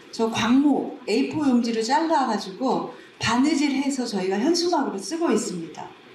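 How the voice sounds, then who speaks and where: Against noticeable background noise and audible room echo, a woman speaks in a high voice with lively intonation. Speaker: community library director. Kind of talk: conference presentation. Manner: slow-paced speech; casual conversational.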